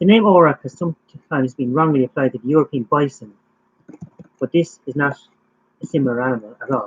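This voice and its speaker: Speaking very fast but with long, frequent pauses, a man with a strong Irish accent talks at a fairly high pitch in a dry, close sound with no echo. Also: ordinary pitch variation. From Ireland. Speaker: YouTuber live streaming facts. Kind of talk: casual live stream chat and fact reading. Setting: live stream.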